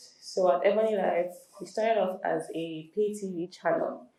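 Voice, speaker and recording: With audible room echo, a woman at a medium pitch speaks at a fairly slow pace in a dark, mellow tone with ordinary pitch variation. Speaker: entertainment lawyer. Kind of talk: lecture.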